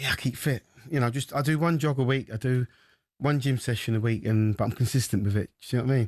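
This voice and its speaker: Over a quiet background, a man with a medium pitch talks at a very fast pace, the sound dry and close with no echo. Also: ordinary pitch variation. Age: 60s. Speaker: former boxer, boxing pundit. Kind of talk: radio sports discussion. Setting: radio studio.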